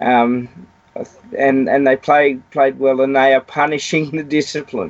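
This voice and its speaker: Speaking at a fairly slow pace with an Australian accent, a man uses a fairly high pitch and fairly even intonation. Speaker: rugby pundit. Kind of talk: casual chat.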